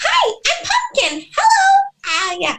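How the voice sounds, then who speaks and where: The speaker puts on a character voice at an extremely high pitch. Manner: silly greeting.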